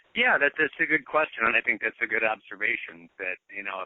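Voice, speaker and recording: Here is a man with a normal speaking voice. He talks at a fairly quick pace with fairly even intonation. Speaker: baseball radio broadcaster. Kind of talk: interview answer. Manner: conversational, with filler words.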